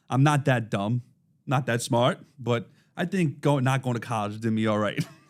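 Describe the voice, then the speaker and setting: A man speaks at a moderate pace with a Brooklyn accent. His pitch is medium, with ordinary variation. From Brooklyn, New York. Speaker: podcast host. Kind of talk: casual chat.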